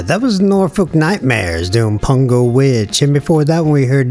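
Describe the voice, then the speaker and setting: Over music in the background, a man speaks with an American accent in a medium-pitched voice. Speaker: radio host. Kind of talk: radio DJ patter, casual. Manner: laid-back, chatty, slangy.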